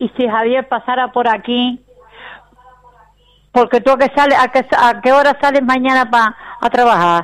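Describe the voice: A woman talks at a moderate pace with a fairly high pitch, a fairly bright tone and ordinary pitch variation.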